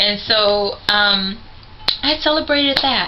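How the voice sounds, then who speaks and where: Over music in the background, a woman talks with ordinary pitch variation. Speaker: vlogger sharing concussion recovery experience. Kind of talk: personal vlog talk to camera. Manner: hesitant with frequent fillers.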